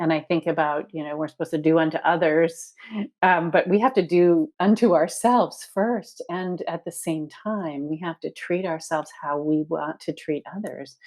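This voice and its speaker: At a moderate pace, a normal speaking voice carries ordinary pitch variation. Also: woman, fairly low pitch for a woman. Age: 60s. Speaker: body positivity organization founder and author. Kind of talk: podcast interview. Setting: podcast recording.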